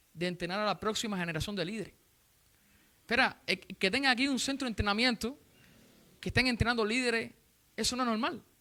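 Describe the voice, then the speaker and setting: The delivery runs at a very fast pace yet has long, frequent pauses. The recording is very clean, with a silent background. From Cuba. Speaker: visiting preacher. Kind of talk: sermon. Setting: church.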